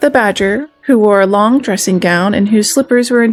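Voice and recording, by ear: With ordinary pitch variation, someone reads aloud in a natural voice.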